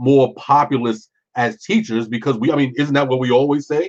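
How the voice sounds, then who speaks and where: A man with an ordinary speaking voice and medium pitch talks at a moderate pace. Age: 40s. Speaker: podcast panelist. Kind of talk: panel discussion.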